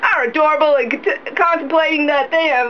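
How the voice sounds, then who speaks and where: Noticeable background noise sits behind a woman's high-pitched voice. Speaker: voice actor. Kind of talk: mock commercial read. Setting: studio.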